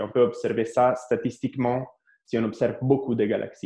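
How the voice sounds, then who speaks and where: A man speaks with an Italian accent in a dark, mellow tone. His intonation is monotone and flat. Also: quiet background. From Italy (Carpi, Emilia-Romagna). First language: Italian (speaking French). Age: 30s. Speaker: astrophysics researcher. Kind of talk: interview. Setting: remote video call. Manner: halting, many repetitions and hesitations.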